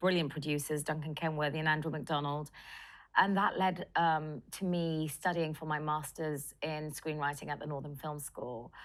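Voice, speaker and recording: In a London accent, a woman speaks at a moderate pace. Her pitch is very deep and low, and the recording is very clean with a silent background. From London, England. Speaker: film director and writer. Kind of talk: interview.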